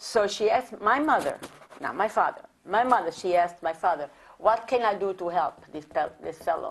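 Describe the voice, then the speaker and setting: A woman speaks in an Italian accent at a medium pitch. Her intonation is lively and her pace is moderate. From Italy (Rome, born near Naples). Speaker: immigrant sharing life story. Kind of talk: oral history interview. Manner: halting, repetitive.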